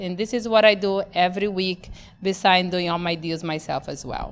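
A woman speaks with a Portuguese accent. She keeps a moderate pace, and her pitch varies in an ordinary way. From Brazil, Amazon region. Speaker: real estate investor and show host. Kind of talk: personal testimony.

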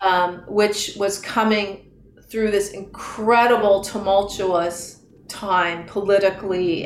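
A woman's medium-pitched voice stays monotone and flat amid noticeable background noise. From Northern California (Marin County). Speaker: yoga teacher and studio owner. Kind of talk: casual interview.

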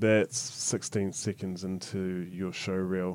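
A man with a New Zealand accent speaks at a very slow pace. His very deep, low voice keeps a fairly even intonation. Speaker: podcast host. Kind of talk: interview.

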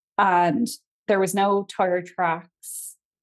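A woman's medium-pitched voice with an Irish accent. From Ireland, County Kildare. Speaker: Irish language teacher and folklore storyteller. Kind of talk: storytelling interview.

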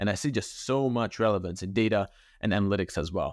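A man speaks with a Hungarian accent at a medium pitch, with ordinary pitch variation. The background is quiet, and the sound is dry and close, with no echo. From Hungary. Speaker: podcast host. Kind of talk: casual interview conversation.

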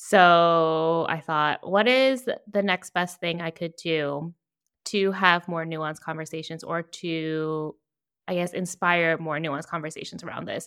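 A woman with an American accent and a normal speaking voice talks at a fairly slow pace and fairly low pitch, keeping her intonation fairly even. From Virginia. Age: 30s. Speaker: brand strategist and podcaster. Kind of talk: interview.

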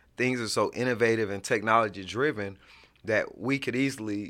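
A man with an American accent talks at a moderate pace in a medium pitch, his tone bright and sharp. His intonation is fairly even, and the recording is very clean with a silent background. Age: 40s. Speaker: state politician. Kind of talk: interview.

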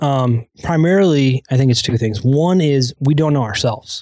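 Moderate pace and ordinary pitch variation from a man, in a dry, close sound with no echo. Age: 30s. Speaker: entrepreneur and business coach. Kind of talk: podcast interview. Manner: halting, frequent restarts and fillers.

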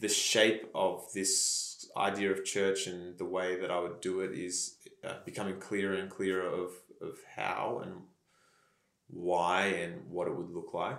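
In an Australian accent, a man with a fairly low voice speaks fairly slowly and in a flat monotone, with audible room echo around him. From Australia, country Victoria. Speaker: pastor. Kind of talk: casual chat.

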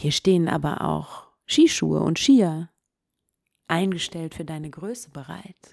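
At a fairly slow pace, a woman talks with long, frequent pauses. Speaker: meditation podcast host and storyteller. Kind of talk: guided meditation. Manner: calm, slow, soothing, second-person storytelling.

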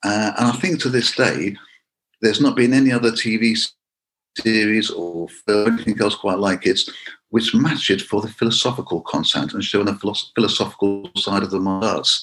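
In an ordinary speaking voice, a man talks fairly quickly. He has a fairly low pitch that varies in an ordinary way. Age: 50s. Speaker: karate instructor. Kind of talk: interview.

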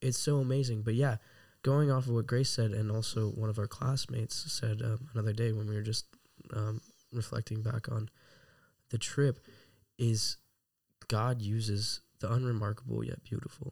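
A man with a medium-pitched, somewhat breathy voice speaks in a monotone, flat intonation. He leaves long, frequent pauses, and the recording is very clean with a silent background. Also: moderate pace. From Texas. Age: 20s. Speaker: Bible school student. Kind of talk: interview.

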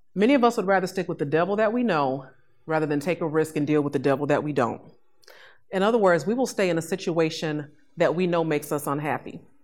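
On a very clean recording with a silent background, a woman with an American accent talks at a very fast pace. Her pitch is fairly low and her intonation lively. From Chicago, South Side. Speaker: podcast host and brand strategist. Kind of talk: motivational lecture. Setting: classroom with live audience.

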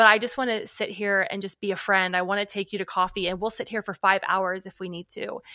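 Talking very fast with hardly any pauses, a woman uses a bright, sharp tone at a medium pitch, fairly even intonation and big swings in loudness, in a dry, close sound with no echo. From northern Kentucky, Cincinnati area. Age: 40s. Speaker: author, speaker and worship leader. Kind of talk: casual chat.

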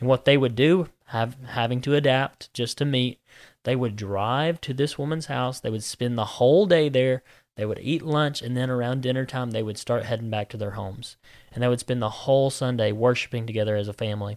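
Fairly quick speech from a man at medium pitch with a Southern US accent and ordinary pitch variation, on a very clean recording with a silent background. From US Deep South (Georgia, Alabama). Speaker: minister. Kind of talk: casual religious discussion.

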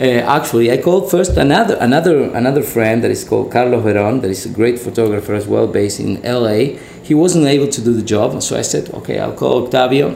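With a Spanish accent, a man talks at a very fast pace amid noticeable background noise and audible room echo. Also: medium pitch for a man. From Argentina. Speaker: commercial director. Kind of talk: casual interview. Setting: studio.

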